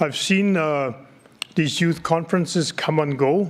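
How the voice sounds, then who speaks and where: At a moderate pace, an ordinary speaking voice delivers fairly even intonation. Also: man. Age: 60s. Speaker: community politician. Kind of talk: conference speech.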